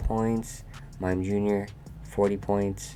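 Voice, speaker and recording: A man's very deep, low voice at a very slow pace, with ordinary pitch variation and music in the background. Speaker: competitive Pokemon player. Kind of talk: casual gaming commentary.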